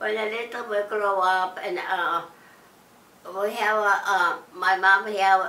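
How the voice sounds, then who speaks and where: A woman speaks at a very slow pace. Her intonation stays monotone and flat. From Russia. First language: Russian. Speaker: Nazi concentration camp survivor. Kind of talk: interview answer.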